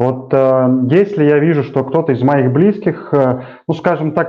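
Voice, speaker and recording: At a moderate pace, a man speaks in a fairly high voice with ordinary pitch variation. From rural Russia. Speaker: show host. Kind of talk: casual interview. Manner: halting.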